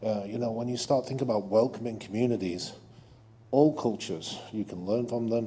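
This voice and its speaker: A man with a non-native accent talks at a fairly quick pace over noticeable background noise. His medium-pitched voice keeps fairly even intonation. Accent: foreign accent noticeable. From abroad, immigrant. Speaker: audience member. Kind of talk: audience comment at public meeting.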